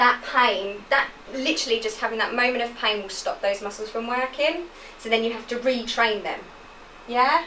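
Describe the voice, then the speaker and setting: In an English accent, a woman talks at a moderate pace and fairly high pitch with ordinary pitch variation and big swings in loudness, amid audible room echo and noticeable background noise. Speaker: physiotherapist. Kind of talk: lecture.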